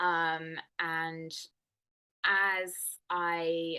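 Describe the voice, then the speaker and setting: Speaking with an English accent, a woman has a fairly low pitch and a bright, sharp tone. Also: quiet background. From England. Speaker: nutrition and wellness coach. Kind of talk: interview.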